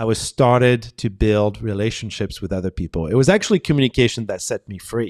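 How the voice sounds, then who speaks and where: Fairly quick speech from a man at medium pitch, with ordinary pitch variation, a dry, close sound with no echo, and a very clean recording with a silent background. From France. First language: French. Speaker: communication professor. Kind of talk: podcast interview.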